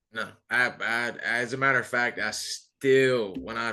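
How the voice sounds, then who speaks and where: A man's bright, sharp-toned voice over a quiet background. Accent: Southern US. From US South. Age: 30s. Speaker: military historian and veteran interviewer. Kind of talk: casual chat.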